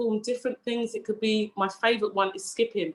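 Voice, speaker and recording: A woman with a fairly high pitch speaks in a passionate tone, keeping her intonation fairly even. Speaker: fitness and wellbeing coach. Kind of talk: online presentation.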